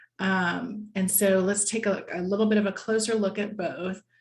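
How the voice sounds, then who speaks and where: Somewhat breathy, this voice carries an American accent and fairly even intonation. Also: woman. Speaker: lobbyist, guest speaker. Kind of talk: presentation at a members' meeting. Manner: conversational with frequent fillers.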